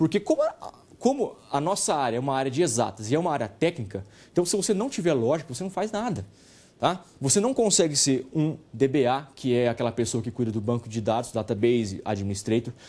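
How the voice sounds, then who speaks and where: Over a quiet background, a man with a dark, mellow tone talks at a medium pitch and a fairly quick pace, his pitch swinging very widely. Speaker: university lecturer. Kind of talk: lecture.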